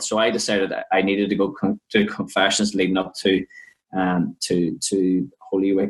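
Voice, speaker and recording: In an Irish accent, a man speaks at a fairly low pitch with fairly even intonation. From Ireland. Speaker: podcast co-host, youth minister. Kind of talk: personal testimony.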